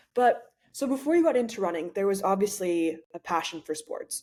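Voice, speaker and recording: With an American accent, a plain, everyday voice moves at a moderate pace with lively intonation. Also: woman. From United States. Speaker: podcast host. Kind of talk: casual interview.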